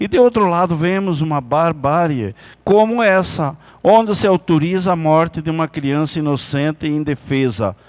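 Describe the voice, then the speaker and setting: In a very clean recording over a silent background, a man speaks at a moderate pace in a normal speaking voice. His pitch is fairly high and his intonation lively. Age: 60s. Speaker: city councillor. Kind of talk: political speech. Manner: formal.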